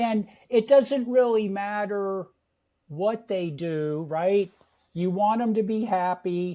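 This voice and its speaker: A man with an American accent speaks at a high pitch. His tone is dark and mellow, and his pitch varies in an ordinary way. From San Francisco Bay Area, California. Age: 70s. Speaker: real estate investor. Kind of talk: interview.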